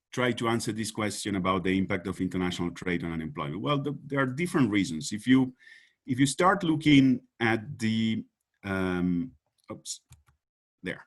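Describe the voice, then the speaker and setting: A man speaks at a moderate pace with an American, no, in a Spanish accent. His pitch swings very widely against a quiet background. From Uruguay. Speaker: economist. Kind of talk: conference presentation. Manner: halting, many fillers and repetitions.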